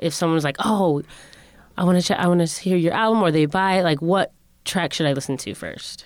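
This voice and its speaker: On a very clean recording with a silent background, a woman with an American accent and a plain, everyday voice talks at a fairly quick pace in a fairly low pitch with ordinary pitch variation. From Connecticut. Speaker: podcast host. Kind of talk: casual interview.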